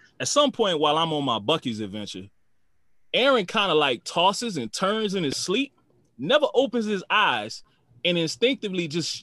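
Against a quiet background, a man with a high pitch and a bright, sharp tone speaks at a moderate pace in a raised, projected voice, animated and with very wide pitch swings. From New Orleans, US South. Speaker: podcast co-host, army officer and prosecutor. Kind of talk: casual chat.

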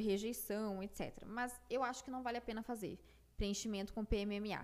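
A woman speaks at a fairly high pitch. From Brazil, Piracicaba (São Paulo state interior). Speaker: plastic surgery resident doctor. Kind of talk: casual interview chat.

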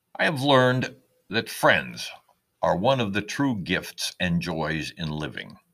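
At a very slow pace, a man with a fairly low pitch and vocal fry speaks in a bright, sharp tone with very wide pitch swings. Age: 70s. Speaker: retired lawyer and caregiver writing personal essays. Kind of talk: scripted narration. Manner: reflective, measured.

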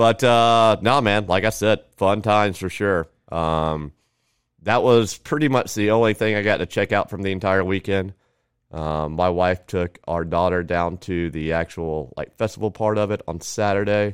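Moderately paced delivery in a normal speaking voice, the pitch varying in an ordinary way. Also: man, fairly low pitch for a man. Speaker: podcast guest. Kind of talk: casual chat.

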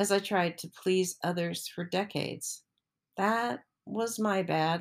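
A woman's unremarkable speaking voice at medium pitch, with lively intonation, a fairly slow pace, and a very clean recording over a silent background. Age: 60s. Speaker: personal essayist. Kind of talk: reading aloud. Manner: reflective.

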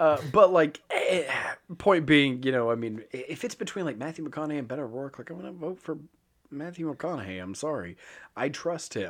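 With a normal speaking voice, a man at a fairly high pitch talks at a moderate pace, his intonation lively and his loudness swinging widely. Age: 30s. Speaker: podcast co-host. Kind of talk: casual political chat. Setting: recording studio.

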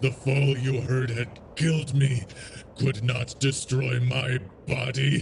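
A man speaks in a put-on character voice at a medium pitch. Background noise is clearly audible. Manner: brooding, anguished, menacing.

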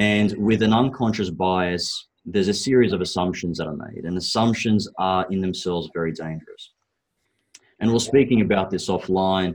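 The speaker is a man with an Australian accent. His pitch is very deep and low. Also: ordinary pitch variation, moderate pace. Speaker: property investment strategist. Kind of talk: podcast interview.

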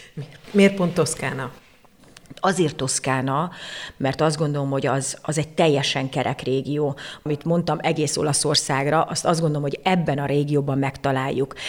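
The speaker moves at a moderate pace with fairly even intonation. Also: woman, very deep, low pitch for a woman. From Hungary, Székesfehérvár. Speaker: cooking course host. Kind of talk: interview conversation.

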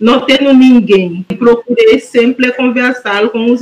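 A woman's high-pitched voice comes through with noticeable background noise. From Haiti. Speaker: master's student. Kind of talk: panel discussion. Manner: halting.

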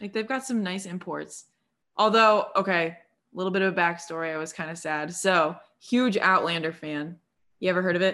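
A woman with an unremarkable speaking voice talks at a fairly quick pace and medium pitch, in a very clean recording with a silent background. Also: ordinary pitch variation. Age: 20s. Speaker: nurse and small business owner. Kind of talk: casual chat.

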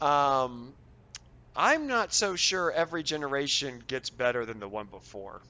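A man in a normal speaking voice, fairly high-pitched, fairly slow, with lively intonation and big swings in loudness. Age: 40s. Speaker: high school science teacher. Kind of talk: casual interview.

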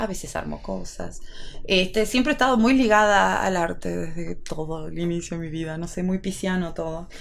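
A woman talks at a moderate pace. The room adds an audible echo. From Salta, northwestern Argentina. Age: 30s. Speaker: opera singer. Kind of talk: casual chat.

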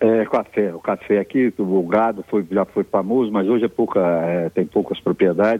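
At a moderate pace, a man talks in a fairly low voice with very even loudness and fairly even intonation. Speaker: lawyer and local historian. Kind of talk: radio interview. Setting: remote line from Iúna.

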